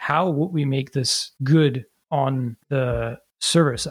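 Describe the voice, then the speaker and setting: A man speaks at a fairly high pitch, somewhat breathy, with ordinary pitch variation. The sound is dry and close, with no echo. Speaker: software framework creator. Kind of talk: casual interview.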